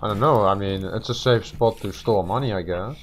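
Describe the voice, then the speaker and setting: The speaker is a man. Behind his voice there is noticeable background noise. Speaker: gaming youtuber. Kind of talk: casual chat. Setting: online voice chat. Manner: halting.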